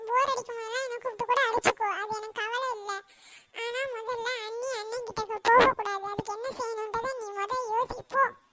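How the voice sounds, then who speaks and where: A woman's cartoonish character voice at an extremely high pitch, flat and monotone, at a moderate pace. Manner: whiny, self-serving.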